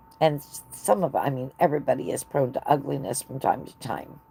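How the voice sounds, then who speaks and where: Over noticeable background noise, a woman with an American accent speaks at a moderate pace, her loudness swinging widely. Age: 60s. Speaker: knitting livestreamer. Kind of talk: casual chat. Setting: live stream.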